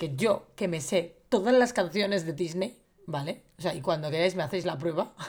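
A woman with a normal speaking voice talks at a moderate pace, her fairly low pitch carried by lively intonation. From Valencia, Spain. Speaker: film podcast co-host. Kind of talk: casual chat.

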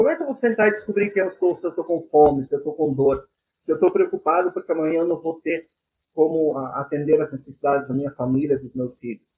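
At a very fast pace, a man talks with fairly high pitch and ordinary pitch variation. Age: 50s. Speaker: Umbanda priest and software engineer. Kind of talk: interview.

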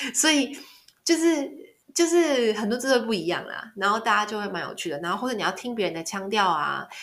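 Fairly high-pitched and fairly quick, a woman speaks with very wide pitch swings. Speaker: travel podcaster. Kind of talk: casual monologue.

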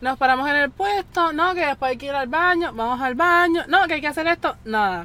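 With a raised, projected voice and a bright, sharp tone, a woman speaks at a high pitch and a moderate pace with lively intonation. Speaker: guest, friend of hosts. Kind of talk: casual storytelling.

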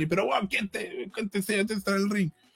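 A man with a Chilean accent talks at a fairly quick pace. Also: dry, close sound with no echo. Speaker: wrestling podcast panelist. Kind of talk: casual chat.

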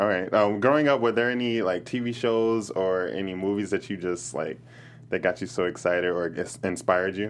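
A man has a plain, everyday voice with an American accent and fairly low pitch. His pace is moderate, with ordinary pitch variation. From Chicago. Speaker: podcast host. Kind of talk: casual interview. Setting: studio.

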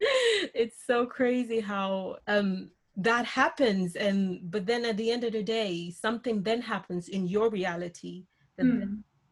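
Fairly high in pitch, this woman's voice is somewhat breathy. She talks fairly slowly with ordinary pitch variation. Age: 30s. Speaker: podcast co-host. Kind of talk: casual chat.

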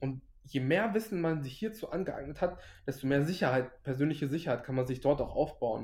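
Somewhat breathy, a man speaks at a fairly quick pace, his fairly high voice rising and falling with lively intonation. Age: 20s. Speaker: finance social media creator. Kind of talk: casual interview.

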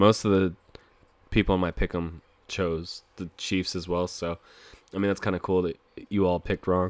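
The speaker talks at a moderate pace. Long pauses come often. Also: man. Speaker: sports podcast host. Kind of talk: solo sports podcast, picks and reaction. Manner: casual, profane, conversational.

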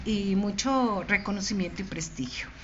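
In a room with audible echo, a woman speaks very slowly at a medium pitch, somewhat breathy, with ordinary pitch variation. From Mexico, Michoacán (Morelia). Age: 60s. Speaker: poet. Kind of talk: interview with poetry reading.

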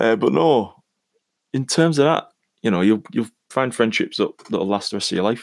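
A man with a British accent at medium pitch, lively in intonation, moderate in pace, with long, frequent pauses. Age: 30s. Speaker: podcaster. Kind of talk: solo monologue podcast.

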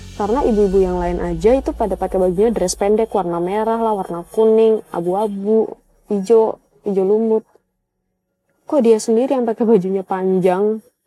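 Talking at a fairly quick pace, a woman of medium pitch has a dark, mellow tone and fairly even intonation. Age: 20s. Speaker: storyteller. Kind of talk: personal story narration. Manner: casual, with fillers.

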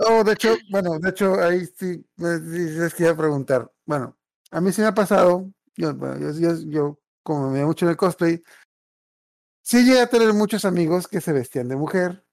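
A very clean recording has a silent background. The speech comes at a moderate pace. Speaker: podcast host. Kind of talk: casual chat.

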